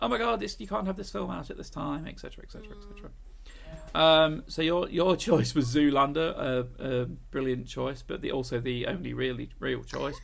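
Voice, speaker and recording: Audible room echo surrounds a man who speaks at a moderate pace, with big swings in loudness. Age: 40s. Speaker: podcast host. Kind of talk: casual chat.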